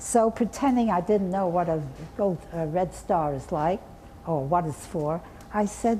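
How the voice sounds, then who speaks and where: A woman speaks fairly slowly at a fairly low pitch, with long, frequent pauses. Her pitch varies normally, and background noise is noticeable. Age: 80s+. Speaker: artist and art educator. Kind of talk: interview answer.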